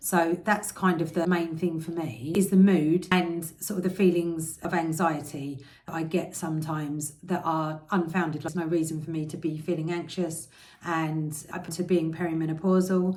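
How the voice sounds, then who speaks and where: A woman's fairly low, monotone, flat voice with an English accent, in audible room echo. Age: 40s. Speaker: health and diet vlogger. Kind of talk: vlog. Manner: fast.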